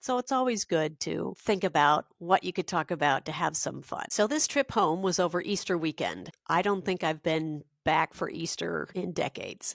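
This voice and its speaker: A woman speaks with vocal fry at a moderate pace, with ordinary pitch variation and hardly any pauses, on a very clean recording with a silent background. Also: fairly low pitch for a woman, dry, close sound with no echo. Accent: American. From Minnesota. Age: 60s. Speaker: podcast host. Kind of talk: personal monologue.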